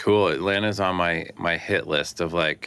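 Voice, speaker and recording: A man with an American accent speaks in a bright, sharp tone at a moderate pace. His intonation is fairly even, and the recording is very clean with a silent background. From Detroit, US Midwest. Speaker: electronic music producer and DJ. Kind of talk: casual chat.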